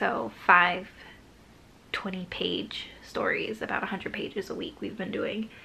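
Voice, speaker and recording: A woman's medium-pitched voice with ordinary pitch variation at a moderate pace, with noticeable background noise. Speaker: writing vlogger. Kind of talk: casual vlog talk.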